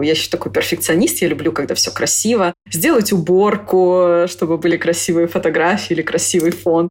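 A woman's fairly quick, fairly low-pitched speech against noticeable background noise. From Moscow, Russia. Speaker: programmer and IT school founder. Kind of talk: casual interview chat.

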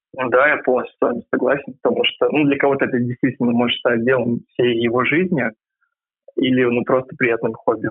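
A man with an ordinary speaking voice, medium in pitch, at a fairly quick pace, with fairly even intonation and very even loudness. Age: 20s. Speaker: university student, volunteer swim coach. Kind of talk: interview.

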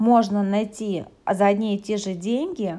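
A woman's medium-pitched voice, fairly even in intonation, at a very slow pace. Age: 30s. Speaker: psychologist and coach. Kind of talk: podcast monologue. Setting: hotel room while travelling.

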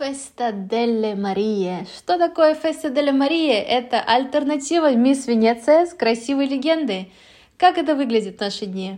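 Against a quiet background, a woman with a high pitch and a dark, mellow tone talks at a moderate pace with lively intonation. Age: 30s. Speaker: podcast host. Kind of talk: solo podcast narration.

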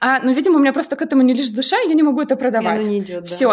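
Noticeable background noise sits behind a woman. Her high-pitched voice shows ordinary pitch variation. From Russia, outside Moscow. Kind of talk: casual chat.

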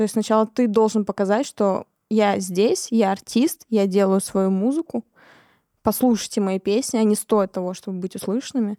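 Very cleanly recorded over a silent background with a dry, close sound and no echo, a woman speaks at a moderate pace and medium pitch in a dark, mellow tone with ordinary pitch variation. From Siberia, Kemerovo. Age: 20s. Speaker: singer-songwriter. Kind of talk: casual interview.

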